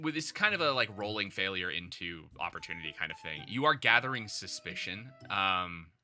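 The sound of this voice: The intonation stays lively in an unforced reading voice.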